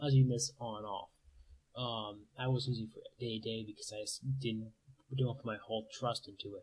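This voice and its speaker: A man with a medium-pitched, somewhat breathy voice talks at a fairly quick pace, his intonation fairly even while his loudness swings widely. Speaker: college student, computer science major. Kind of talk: casual talk to camera. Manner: fast.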